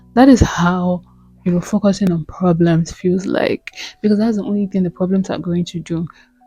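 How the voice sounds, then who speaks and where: Music plays in the background. A woman speaks at a moderate pace with a medium pitch. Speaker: self-help vlogger. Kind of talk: motivational talk. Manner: animated.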